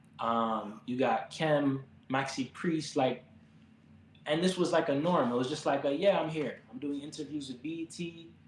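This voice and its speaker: A man talks in an American accent at a moderate pace, his pitch fairly high. Noticeable background noise runs underneath. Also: ordinary pitch variation. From Miami, Florida (Jamaican family). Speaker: pianist, musician. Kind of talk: interview conversation. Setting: live stream.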